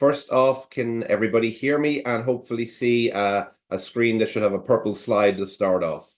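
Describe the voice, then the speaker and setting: A man with an Irish accent talks at a moderate pace and medium pitch, with fairly even intonation, hardly any pauses, and a quiet background. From Ireland. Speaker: attorney and bar prep director. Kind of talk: webinar presentation.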